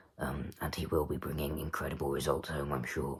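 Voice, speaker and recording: The man speaking has vocal fry in his voice. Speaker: darts commentator vlogger. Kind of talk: casual monologue review. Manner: halting, many fillers.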